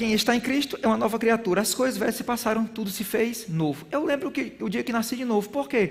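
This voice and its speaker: A man speaks in a high voice with a northeastern Brazilian accent. His tone is animated over noticeable background noise. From Brazilian Northeast. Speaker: bible school teacher. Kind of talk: sermon-style lecture.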